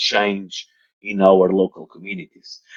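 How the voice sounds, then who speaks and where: A man is heard in a dry, close sound with no echo. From Portugal. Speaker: engineering society president. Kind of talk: online interview. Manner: halting.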